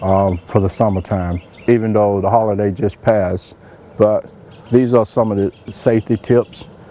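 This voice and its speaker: A man with an American accent and fairly even intonation, amid noticeable background noise. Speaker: chef. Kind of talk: cooking show presentation. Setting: outdoors. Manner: soft-spoken.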